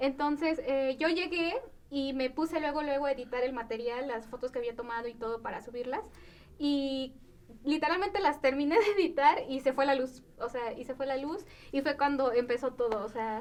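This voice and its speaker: Ordinary pitch variation runs through this woman's high-pitched voice. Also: moderate pace. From Mexico, Puebla. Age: 20s. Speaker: musician. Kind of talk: interview. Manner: casual, filler-heavy.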